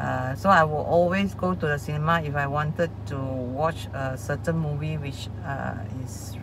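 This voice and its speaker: Dry sound with no echo, noticeable background noise. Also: woman. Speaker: coach. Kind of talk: casual vlog chat. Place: car.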